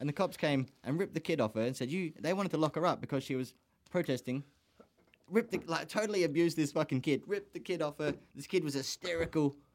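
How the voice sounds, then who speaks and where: The speech comes at a very fast pace in an Australian accent, with ordinary pitch variation. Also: man, fairly high pitch for a man. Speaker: podcast host. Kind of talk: casual chat. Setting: studio.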